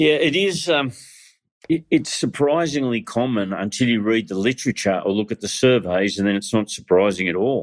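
The recording is very clean, and the background is silent. A man talks in an Australian accent. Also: medium pitch for a man, lively intonation, moderate pace. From Australia, northern New South Wales. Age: 60s. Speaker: pastor. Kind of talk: interview.

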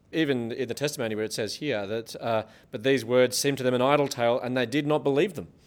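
Talking at a very fast pace, a man keeps his pitch varying in an ordinary way. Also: medium pitch for a man. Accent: Australian. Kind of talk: live show hosting and interview. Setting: stage with live audience.

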